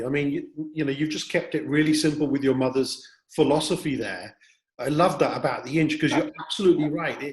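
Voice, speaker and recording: Somewhat breathy, a man speaks at a fairly quick pace with a fairly high pitch and fairly even intonation. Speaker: interview host. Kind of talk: interview question.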